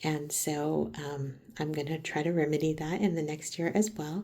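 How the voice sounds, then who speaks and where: A woman's very deep, low pitch with a dark, mellow tone, fairly even intonation and a moderate pace. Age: 40s. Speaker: crafting video host. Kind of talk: casual chat while crocheting. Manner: chatty with many fillers.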